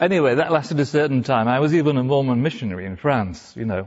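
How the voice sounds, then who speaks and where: A man with a Welsh accent. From North Wales. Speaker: speaker telling his conversion story. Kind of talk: talk to a live audience.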